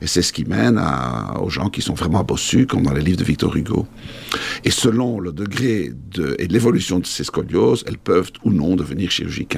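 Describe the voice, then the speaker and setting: Through noticeable background noise, a man with very deep, low pitch talks at a moderate pace, his pitch swinging very widely. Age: 50s. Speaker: orthopedic surgeon. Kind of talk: interview.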